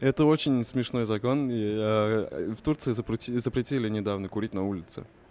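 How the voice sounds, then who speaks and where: A man talks at a fairly quick pace in an ordinary speaking voice. His pitch is fairly low, with ordinary variation. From Russia, Kazan (Tatar). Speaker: youth project manager and poet. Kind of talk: casual chat.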